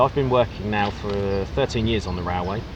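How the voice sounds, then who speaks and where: Speaking at a fairly quick pace, a man uses lively intonation in an Essex accent. His pitch is fairly low, and there is noticeable background noise. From England, Essex. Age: 30s. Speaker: railway worker, weight-loss vlogger. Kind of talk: casual interview chat.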